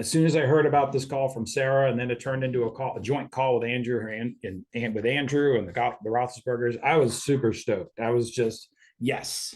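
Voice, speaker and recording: A man with an unremarkable speaking voice of medium pitch talks at a fairly quick pace with ordinary pitch variation. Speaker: insurance agency director and trainer. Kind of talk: online training presentation. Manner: many filler ums.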